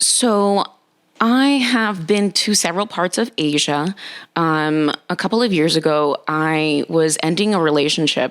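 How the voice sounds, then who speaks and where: This woman has an ordinary speaking voice, fairly low in pitch, with an American accent. She talks at a fairly slow pace with lively intonation and very even loudness. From Nicaragua, moved to US at six. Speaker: dating and relationship coach. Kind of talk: casual interview chat.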